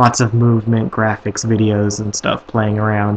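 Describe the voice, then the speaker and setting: A man talks at a fairly quick pace and a medium pitch, with monotone, flat intonation. Noticeable background noise runs underneath. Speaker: student tech segment host. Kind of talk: tech tutorial. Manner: fast; casual, filler-heavy.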